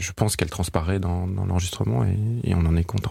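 Silence surrounds this very clean recording. The man's pitch is very deep and low, with ordinary variation. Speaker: classical pianist. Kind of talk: interview. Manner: halting, many hesitations.

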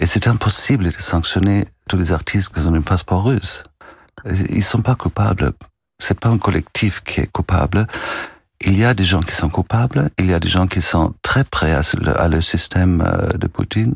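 A man speaks with a very deep, low pitch and a somewhat breathy sound, keeping his loudness very even. His pace is moderate, his pitch variation ordinary, and long, frequent pauses break up his speech. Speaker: music festival director. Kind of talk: radio interview. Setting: radio studio. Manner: halting, repeats words.

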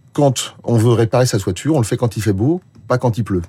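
Speaking at a fairly quick pace, a man uses lively intonation in a medium-pitched, somewhat breathy voice with a dark, mellow tone. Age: 60s. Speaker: social protection policy expert. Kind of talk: radio interview.

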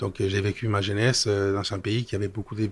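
A man with a Spanish accent speaks in a somewhat breathy voice and fairly even intonation, on a very clean recording with a silent background. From Spain. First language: Spanish (speaking French). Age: 50s. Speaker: business executive. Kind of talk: interview. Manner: halting.

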